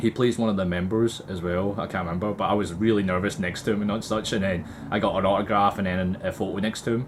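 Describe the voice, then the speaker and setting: A man talks at a very fast pace with hardly any pauses, his pitch fairly low. Noticeable background noise runs under the recording. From Scotland, Glasgow. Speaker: cosplay vlogger. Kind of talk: casual chat. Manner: halting; animated.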